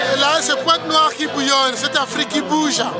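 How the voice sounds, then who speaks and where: Over clear background music, a man talks at a fairly slow pace in a dry sound with no echo. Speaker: storyteller and author. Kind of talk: interview answer. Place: street. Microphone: phone near.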